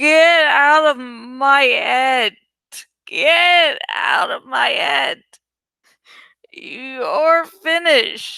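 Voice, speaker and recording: A woman's put-on character voice, high-pitched, at a very slow pace with long, frequent pauses. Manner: distressed, shouting.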